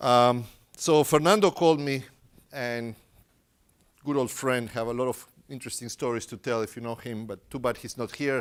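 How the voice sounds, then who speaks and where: A man with a Spanish accent speaks at medium pitch and a moderate pace, with ordinary pitch variation, big swings in loudness and long, frequent pauses, on a very clean recording with a silent background. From Uruguay. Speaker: tech company engineer presenting at a conference. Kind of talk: conference talk. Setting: stage with audience.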